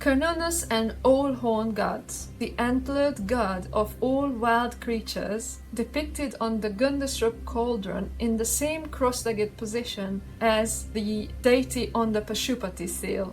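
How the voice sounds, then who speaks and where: Speaking at a fairly slow pace with a non-native accent, a woman is heard over noticeable background noise and audible room echo. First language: not English. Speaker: spiritual video creator. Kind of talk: explainer talk.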